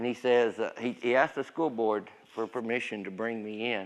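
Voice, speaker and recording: A Southern US accent on a very clean recording with a silent background. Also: man. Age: 60s. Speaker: pastor. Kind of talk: testimony. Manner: casual.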